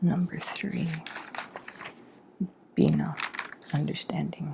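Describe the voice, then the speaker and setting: At a very slow pace, a soft-spoken voice comes through over noticeable background noise. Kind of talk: ASMR soft-spoken tutorial, memorizing by repetition. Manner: soft-spoken, slow, casual.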